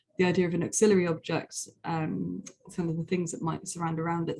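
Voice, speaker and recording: This woman talks fairly quickly in a fairly low, dark and mellow voice with vocal fry and fairly even intonation. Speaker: museum researcher. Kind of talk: conference presentation. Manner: fast; hesitant, many fillers.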